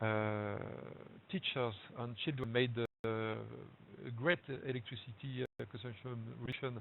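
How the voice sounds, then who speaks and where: In a strong French accent, a man speaks at a fairly slow pace with a medium pitch and fairly even intonation. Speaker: local government energy officer. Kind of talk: webinar presentation. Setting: online webinar. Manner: halting, many fillers.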